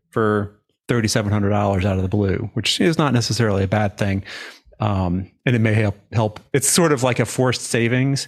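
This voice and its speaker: Against a quiet background, a man of medium pitch talks at a fairly quick pace with fairly even intonation in an unremarkable speaking voice. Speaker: insurance adjuster coach and show host. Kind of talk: career coaching conversation.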